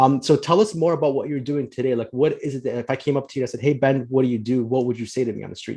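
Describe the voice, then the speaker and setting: Speaking very fast with hardly any pauses, a man uses a dark, mellow tone at medium pitch with ordinary pitch variation. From US Midwest, Chicago. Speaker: podcast host, financial planner. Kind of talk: podcast interview.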